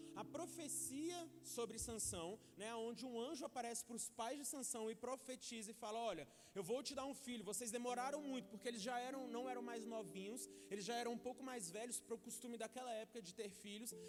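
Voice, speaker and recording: An extremely high-pitched male voice over noticeable background noise. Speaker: preacher. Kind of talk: sermon. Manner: fast.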